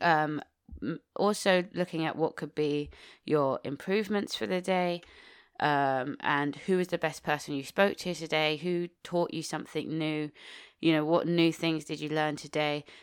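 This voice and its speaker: Very clean with a silent background, the recording captures a woman whose very deep, low pitch holds a fairly even intonation. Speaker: mindset coach and podcast host. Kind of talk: solo podcast monologue. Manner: fast.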